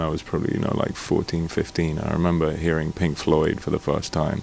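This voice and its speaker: Noticeable background noise accompanies this man as he talks. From Scotland. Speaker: singer-songwriter. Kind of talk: interview. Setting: studio. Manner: halting.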